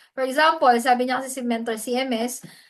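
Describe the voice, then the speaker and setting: At a moderate pace, a woman talks in a high pitch. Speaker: hosting skills mentor. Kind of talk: online training session.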